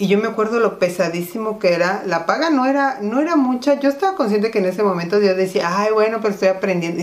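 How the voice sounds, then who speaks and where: A woman at a medium pitch talking very fast with hardly any pauses and lively intonation, over noticeable background noise. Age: 50s. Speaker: podcast co-host. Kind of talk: casual chat.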